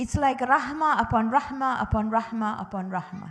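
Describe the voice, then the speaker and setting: A woman speaks at a fairly high pitch and a moderate pace. Her intonation is lively and her voice somewhat breathy. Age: 60s. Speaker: religious teacher for children and parents. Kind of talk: religious teaching talk to families. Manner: animated.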